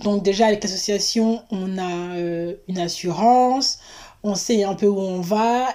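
Noticeable background noise behind a woman at a medium pitch, fairly even in intonation and very slow in pace. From Paris region, France. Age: 30s. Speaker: traveller, wwoofer. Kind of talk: interview, casual chat.

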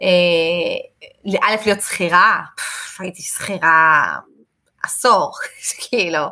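Very slowly, a woman talks in a bright, sharp tone with lively intonation. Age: 30s. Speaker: English teacher and entrepreneur. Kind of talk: casual interview. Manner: animated.

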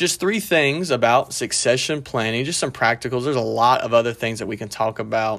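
Speaking at a moderate pace, a man uses an ordinary speaking voice at medium pitch with ordinary pitch variation. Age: 30s. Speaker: pastor and podcast host. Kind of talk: solo podcast talk. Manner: casual, with frequent fillers.

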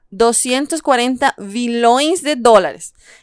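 A woman talks with a Spanish accent and ordinary pitch variation. The recording is very clean, with a silent background. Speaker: podcast co-host. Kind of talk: podcast host chat and summary.

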